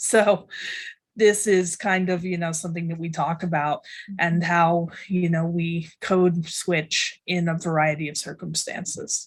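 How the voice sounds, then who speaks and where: A woman speaks at a fairly slow pace in a fairly low pitch, her voice somewhat breathy. Her intonation stays monotone and flat. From rural Tennessee. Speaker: writing professor. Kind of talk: panel discussion.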